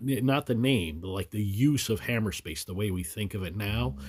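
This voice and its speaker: At a moderate pace, a man with a fairly low pitch sounds somewhat breathy, with very wide pitch swings. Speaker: trivia video creator. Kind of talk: casual solo explainer. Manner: hesitant, many fillers.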